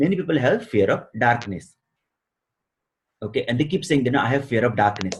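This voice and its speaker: A man speaks at a fairly quick pace with lively intonation. His medium-pitched voice is somewhat breathy. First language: not English; a regional native language. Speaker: success coach. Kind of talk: interview. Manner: hesitant, many fillers.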